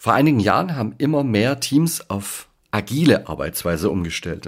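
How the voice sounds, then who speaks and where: A man at a fairly slow pace with very wide pitch swings, in a very clean recording with a silent background. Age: 40s. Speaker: leadership coach and podcast host. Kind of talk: podcast monologue.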